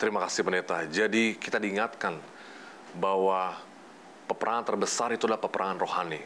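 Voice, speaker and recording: With a bright, sharp tone and fairly even intonation, a man speaks at a fairly low pitch over light background noise. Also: fairly quick pace. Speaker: program co-host. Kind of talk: religious program hosting. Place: studio. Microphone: lapel.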